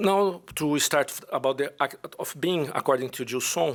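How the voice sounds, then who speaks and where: This man's fairly high pitch moves with ordinary variation as he speaks at a fairly slow pace. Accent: Brazilian. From Brazil. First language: Portuguese. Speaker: philosophy professor. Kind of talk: conference paper presentation. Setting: conference with audience. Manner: halting.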